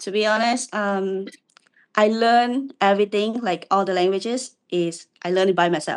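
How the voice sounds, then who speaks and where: Here a woman speaks in a Cambodian accent. Her pitch sits in the medium range. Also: ordinary pitch variation, moderate pace. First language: Khmer. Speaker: university student and aspiring language teacher. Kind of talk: casual video call interview. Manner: hesitant.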